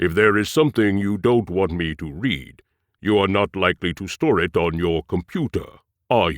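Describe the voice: Someone does plain reading aloud. Nothing much stirs behind them, leaving a quiet background.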